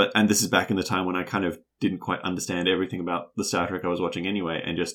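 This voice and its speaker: A man with a very deep, low pitch and a New Zealand accent speaks at a very fast pace with fairly even intonation, on a very clean recording with a silent background. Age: 30s. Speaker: podcast co-host. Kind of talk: casual chat.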